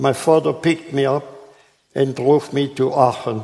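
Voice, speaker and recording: This man has a German accent and a fairly high pitch. He talks at a fairly slow pace with ordinary pitch variation. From Germany. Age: 80s+. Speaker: Holocaust survivor. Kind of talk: public talk.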